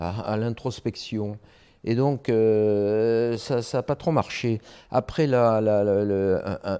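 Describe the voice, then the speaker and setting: A man speaks with a fairly low pitch. His tone is dark and mellow. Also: quiet background. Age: 60s. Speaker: public prosecutor. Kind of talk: interview. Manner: hesitant, many fillers.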